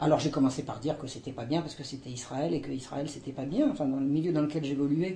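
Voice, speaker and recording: A woman speaks in a very deep, low voice with ordinary pitch variation. Audible room echo surrounds her. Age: 60s. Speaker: historian. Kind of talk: testimony. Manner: halting, many hesitations.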